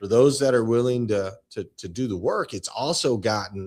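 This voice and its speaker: Speaking at a moderate pace, a man uses medium pitch and an animated tone. The recording is very clean, with a silent background. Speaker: automotive sales coach. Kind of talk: interview.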